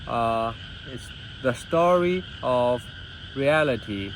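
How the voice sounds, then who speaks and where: Speaking with a non-native accent, this man has a medium-pitched voice and lively intonation. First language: not English. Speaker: vlogger and businessman. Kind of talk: personal monologue. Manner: halting, with many fillers and restarts.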